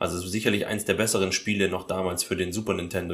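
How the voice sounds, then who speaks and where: Speaking with a fairly low pitch, a man moves at a fairly quick pace. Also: very clean recording, silent background. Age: 20s. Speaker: podcast guest. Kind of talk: casual chat.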